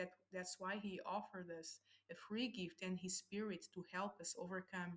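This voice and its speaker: Somewhat breathy, a woman speaks in a medium pitch at a moderate pace. Her intonation stays fairly even. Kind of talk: devotional message to camera.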